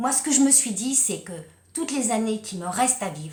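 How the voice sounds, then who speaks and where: A woman's animated tone with lively intonation. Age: 60s. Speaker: life coach and kinesiology practitioner. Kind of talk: personal testimony vlog.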